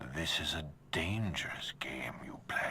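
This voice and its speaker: In a put-on character voice, a man whispers at a moderate pace. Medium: machinima. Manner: cold, authoritative.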